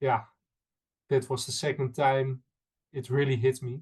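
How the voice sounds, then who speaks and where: Somewhat breathy speech comes through with a Dutch accent. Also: man. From Netherlands. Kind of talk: interview. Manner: halting, many fillers.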